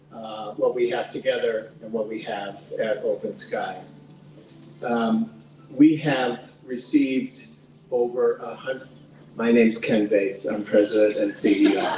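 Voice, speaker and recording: A man speaks at a fairly slow pace, leaving long, frequent pauses. The audio has audible room echo and noticeable background noise. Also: big swings in loudness. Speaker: nonprofit president and CEO. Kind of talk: speech at awards reception. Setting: event hall with audience. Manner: loud; halting, many fillers.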